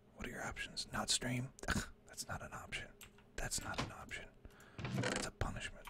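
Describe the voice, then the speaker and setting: Moderately paced whispering broken by long, frequent pauses, over noticeable background noise. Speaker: gaming streamer. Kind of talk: live gameplay stream chat. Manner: quiet, hushed.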